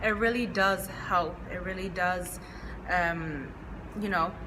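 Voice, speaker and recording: Noticeable background noise and audible room echo surround a woman's voice. She talks at a moderate pace with ordinary pitch variation. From Chinese household upbringing. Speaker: podcast co-host. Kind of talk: casual chat.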